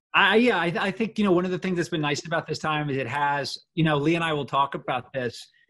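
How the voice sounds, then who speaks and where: A man with an American accent speaks very fast in a fairly high, bright, sharp voice. His pitch varies in an ordinary way. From California then London and US East Coast. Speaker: novelist and war veteran. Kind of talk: casual interview. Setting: video call.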